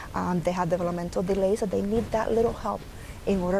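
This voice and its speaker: A woman with a Puerto Rican accent speaks in a fairly low pitch with vocal fry. Her intonation stays fairly even. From Puerto Rico. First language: Spanish. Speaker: early intervention program director. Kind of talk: interview.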